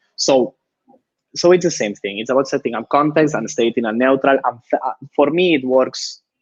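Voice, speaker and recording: In a dry, close sound with no echo, a man speaks fairly quickly with a Spanish accent and ordinary pitch variation. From Spain. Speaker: user researcher. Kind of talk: live webinar talk. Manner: halting, frequent repetitions.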